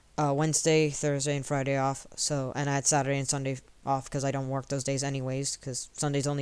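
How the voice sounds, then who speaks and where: Very fast pace on a very clean recording with a silent background. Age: 20s. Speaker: streamer. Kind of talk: casual personal vlog. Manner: halting, many fillers and restarts.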